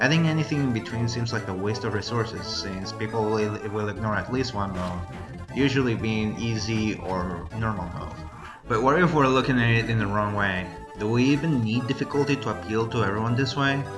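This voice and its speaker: Music plays in the background as a man at medium pitch talks at a fairly quick pace with ordinary pitch variation. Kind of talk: scripted video essay narration.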